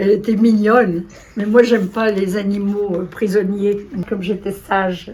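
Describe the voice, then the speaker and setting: The intonation is flat and monotone. Delivery comes at a fairly slow pace. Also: woman, medium pitch for a woman. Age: 80s+. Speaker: retired kindergarten director and writer. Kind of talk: casual interview talk.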